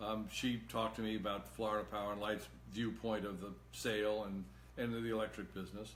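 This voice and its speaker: Audible room echo surrounds a man talking at a fairly quick pace in a fairly low pitch. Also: ordinary pitch variation. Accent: American. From Massachusetts. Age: 70s. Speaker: political candidate. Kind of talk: live-stream Q&A monologue. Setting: Facebook live video. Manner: halting.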